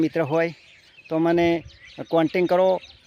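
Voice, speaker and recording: Against noticeable background noise, a man talks in a high, flat monotone. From North Gujarat, India. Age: 40s. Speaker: folk singer. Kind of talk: vlog appeal to followers.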